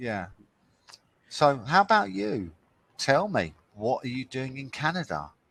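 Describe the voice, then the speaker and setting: A man with a London accent speaks at a fairly slow pace with long, frequent pauses. His medium pitch swings very widely, and his loudness shifts a lot. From London, England. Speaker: online English tutor. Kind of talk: casual conversation lesson. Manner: slow, deliberate for learners.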